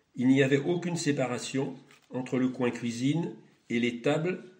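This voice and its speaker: Audible room echo surrounds a voice moving at a moderate pace with fairly even intonation. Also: man. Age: 80s+. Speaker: retired schoolteacher. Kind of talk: testimony. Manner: formal.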